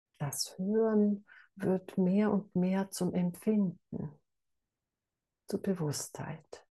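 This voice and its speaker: The voice has a dark, mellow, calm and soothing tone, somewhat breathy, with fairly even intonation. It moves at a very slow pace with long, frequent pauses. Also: woman, medium pitch for a woman. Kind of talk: guided meditation. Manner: slow, calm, soothing.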